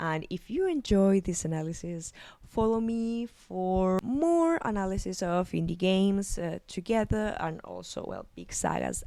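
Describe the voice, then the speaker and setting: On a very clean recording with a silent background, a woman with a Spanish accent speaks at a fairly slow pace. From Argentina. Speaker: psychologist and video essayist. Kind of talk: video essay analysis. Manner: halting, with fillers and repetitions.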